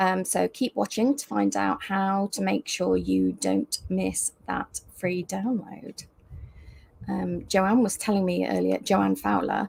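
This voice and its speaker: The dry, close sound with no echo carries a woman speaking fairly slowly in a British accent. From UK. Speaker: crochet teacher and designer. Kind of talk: live video chat. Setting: livestream video call.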